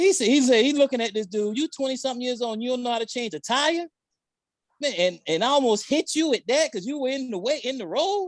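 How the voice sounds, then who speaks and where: Someone with a Southern accent talks at a very fast pace in an animated tone. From South Carolina. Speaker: podcast co-host. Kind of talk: casual chat.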